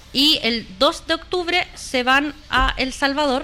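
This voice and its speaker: A woman speaks in a raised, projected voice at a high pitch, with ordinary pitch variation. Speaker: sports radio host. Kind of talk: casual chat.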